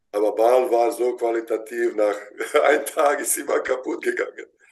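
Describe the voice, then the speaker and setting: At a moderate pace, a man talks. He speaks with a Bosnian accent. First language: Bosnian (speaking German). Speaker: basketball head coach. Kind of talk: interview. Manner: halting.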